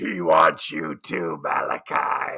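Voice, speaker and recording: A man performs a raspy, put-on character voice. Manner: creepy, menacing.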